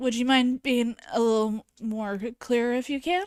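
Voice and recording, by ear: Clear, smooth tone at a fairly slow pace with fairly even intonation. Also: woman, fairly high pitch for a woman.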